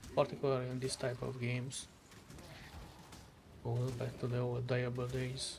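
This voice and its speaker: A man's medium-pitched voice with a Hungarian accent, monotone and flat, at a moderate pace with long, frequent pauses and audible room echo. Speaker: vtuber streamer. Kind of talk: gameplay commentary. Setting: live stream.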